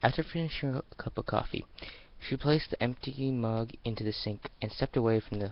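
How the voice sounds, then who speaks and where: A plain, everyday voice speaking at a moderate pace with ordinary pitch variation. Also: man. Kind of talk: amateur dramatic reading of fan fiction.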